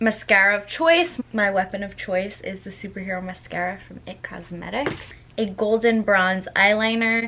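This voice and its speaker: A woman at medium pitch and a moderate pace, with ordinary pitch variation, big swings in loudness, hardly any pauses and noticeable background noise. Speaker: makeup youtuber. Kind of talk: tutorial. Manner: casual, chatty.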